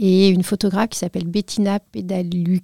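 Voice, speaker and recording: A woman's fairly low pitch with a dark, mellow tone and ordinary pitch variation, in a very clean recording with a silent background. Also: dry, close sound with no echo. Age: 40s. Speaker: patient association president. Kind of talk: interview. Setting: studio.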